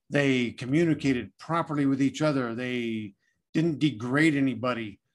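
In an American accent, a man talks at a moderate pace and medium pitch, using a plain, everyday voice with ordinary pitch variation. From Southern California. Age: 50s. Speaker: general contractor and Air Force veteran. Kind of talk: casual interview.

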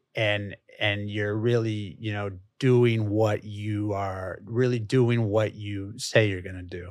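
In a very clean recording with a silent background, a man speaks at a very slow pace and fairly low pitch, his intonation monotone and flat but his loudness swinging widely. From Chicago, US Midwest. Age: 40s. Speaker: real estate developer CEO. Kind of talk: casual interview. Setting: studio. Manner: halting, repeats words.

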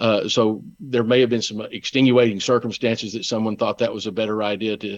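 This man has a normal speaking voice at a medium pitch. He talks at a moderate pace with fairly even intonation. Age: 60s. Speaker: lawyer and former state official. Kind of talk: interview.

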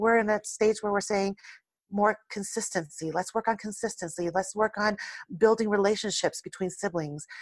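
A woman speaks at a moderate pace in a medium pitch. Her intonation is fairly even, and the very clean recording has a silent background. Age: 40s. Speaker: author and mother. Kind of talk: casual interview chat. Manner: calm.

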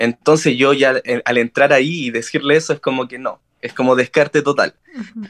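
A man with a Chilean accent talks at a moderate pace and a fairly high pitch, with ordinary pitch variation, big swings in loudness, and a dry, close sound with no echo. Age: 20s. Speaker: spiritual medium. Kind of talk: interview.

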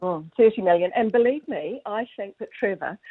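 A woman with a southern New Zealand accent. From New Zealand, Southland (Gore). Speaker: racehorse breeder. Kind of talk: interview.

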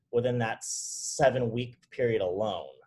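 A man speaks at a medium pitch in an American accent, his voice somewhat breathy. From Southern California, Orange County. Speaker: CrossFit trainer and nutrition coach. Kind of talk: casual interview chat.

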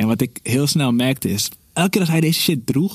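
A man with a normal speaking voice, ordinary pitch variation and a fairly quick pace. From Netherlands, North Holland (village near Alkmaar). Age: 30s. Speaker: podcast guest. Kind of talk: casual chat.

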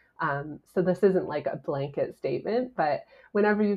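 This woman speaks at a moderate pace with a Canadian accent, a somewhat breathy quality and ordinary pitch variation. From Canada (Ontario). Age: 30s. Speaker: travel writer and podcaster. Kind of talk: casual interview.

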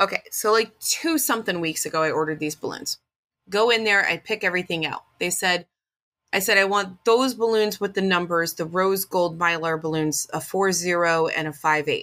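At a moderate pace, a woman with a bright, sharp tone speaks at a medium pitch with ordinary pitch variation, captured in a very clean recording with a silent background. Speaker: podcast co-host. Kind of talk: casual chat.

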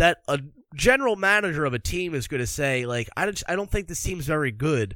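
A man with an American accent talks at a fairly quick pace, his fairly high pitch swinging very widely. The recording is very clean, with a silent background. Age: 20s. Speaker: hockey podcast host. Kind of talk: casual solo podcast commentary.

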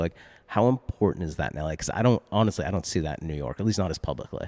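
A man talks at a very fast pace with an American accent. His pitch is very deep and low, and his tone is dark and mellow. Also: dry, close sound with no echo, very clean recording, silent background. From US Northeast, Boston area. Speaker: art podcast host. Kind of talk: casual interview. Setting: gallery, in-person.

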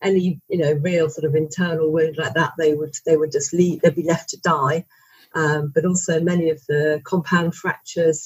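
Somewhat breathy and very deep, low in pitch, a woman with a British accent speaks in a monotone, flat intonation. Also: moderate pace. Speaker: journalist and author. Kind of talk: interview.

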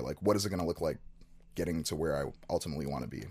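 In a very clean recording with a silent background, a man with an American accent speaks at a very fast pace in a very deep, low voice with vocal fry and ordinary pitch variation. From Chicago, US Midwest. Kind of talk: casual interview chat.

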